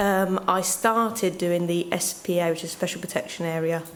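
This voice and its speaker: With an East Midlands accent, a woman talks at a moderate pace and a fairly low pitch. Noticeable background noise and audible room echo fill the recording. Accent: Northampton. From Northampton, England. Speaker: community engagement officer. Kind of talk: conference panel introduction.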